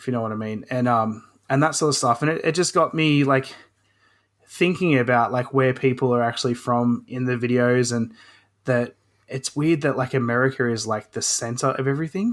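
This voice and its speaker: On a very clean recording with a silent background, a man with an Australian accent talks at a fairly quick pace, medium-pitched and with fairly even intonation. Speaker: hobbyist woodworker and video creator. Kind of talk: casual chat. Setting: podcast interview.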